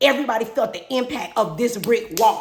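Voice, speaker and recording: A woman speaks at a high pitch. Her tone is animated. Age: 50s. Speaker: podcast host. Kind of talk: personal monologue. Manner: fast.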